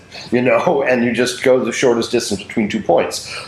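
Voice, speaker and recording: A man with an American accent speaks at medium pitch. Noticeable background noise runs underneath. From Oregon, US West Coast. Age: 60s. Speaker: theater director. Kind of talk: interview. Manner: halting, many fillers.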